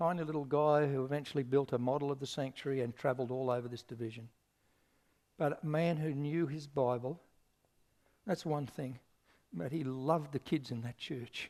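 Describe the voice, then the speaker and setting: The speaker has an Australian accent and a fairly quick pace, with long, frequent pauses. The intonation stays fairly even. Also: man, fairly high pitch for a man. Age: 60s. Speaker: pastor. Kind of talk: sermon.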